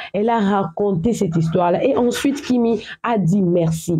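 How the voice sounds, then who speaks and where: A woman speaks at a fairly slow pace with a medium pitch, ordinary pitch variation and a dark, mellow tone. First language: English or African language; speaks English at home (speaking French). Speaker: social media gossip commentator. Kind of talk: casual vlog commentary. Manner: halting, repetitive.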